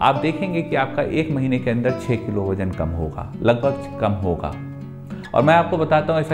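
A man speaks at a fairly slow pace with clear music playing in the background. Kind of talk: health advice talk to camera. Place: office. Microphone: lapel.

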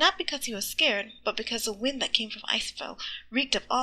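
The speaker reads in a natural reading voice.

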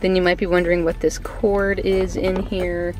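A woman's fairly low voice, dry with no echo, with faint music in the background. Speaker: car owner vlogger. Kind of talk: casual vlog chat. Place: car. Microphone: phone near.

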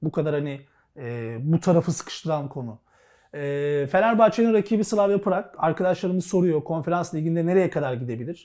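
This man has a high pitch and a dark, mellow tone. His intonation is lively and his pace moderate. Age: 40s. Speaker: sports show host. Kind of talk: casual chat.

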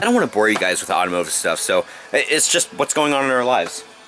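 Noticeable noise sits behind the speech. A man talks at a very fast pace. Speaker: vlogger. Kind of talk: casual vlog chat. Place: car.

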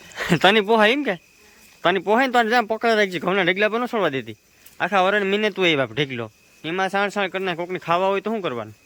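Noticeable background noise sits behind the speaker. A man talks at a high pitch with lively intonation. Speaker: village vlogger. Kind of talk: casual vlog.

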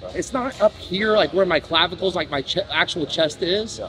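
Faint music plays behind a man speaking. His voice is high, with ordinary pitch variation. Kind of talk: casual conversational explanation. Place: gym.

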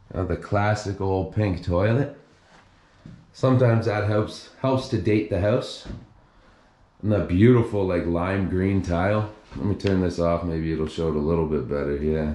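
With audible room echo, a man talks at a moderate pace in a very deep, low voice. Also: ordinary pitch variation. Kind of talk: casual exploration commentary. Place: bathroom. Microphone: phone near.

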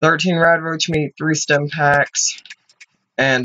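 A man talks as noticeable background noise carries on behind him. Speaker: gamer. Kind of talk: let's play commentary. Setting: home recording. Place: home room. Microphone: webcam.

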